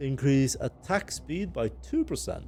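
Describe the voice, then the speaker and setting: A man talks very slowly while music plays behind him. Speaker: gaming video creator. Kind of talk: let's play commentary. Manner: casual, with filler hesitations.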